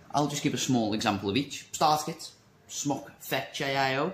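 Somewhat breathy, a man speaks at a fairly slow pace amid light background noise and audible room echo. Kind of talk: casual vlog chat. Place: shop. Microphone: phone near.

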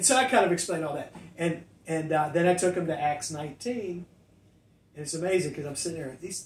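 Very fast talking with ordinary pitch variation, audible room echo and light background noise. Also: man. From US Midwest, Ohio Valley. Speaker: pastor; pastor, podcast co-host. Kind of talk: casual chat. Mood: warm, animated. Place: studio.

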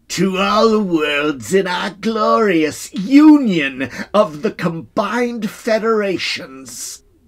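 A man's put-on character voice, high in pitch, with very wide pitch swings, a very slow pace and hardly any pauses. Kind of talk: broadcast announcement. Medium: read story. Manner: stern snarl turning to sweet jubilance.

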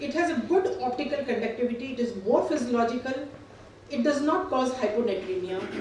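A woman speaks at a fairly quick pace in a high voice, with audible room echo and light background noise. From India. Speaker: gynecologist. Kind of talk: conference presentation. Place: hall. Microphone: camera far.

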